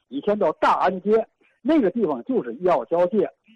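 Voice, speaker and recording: The sound is dry and close, with no echo. A man talks at a fairly quick pace with a high pitch. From Tianjin, China. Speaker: caller. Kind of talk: casual chat.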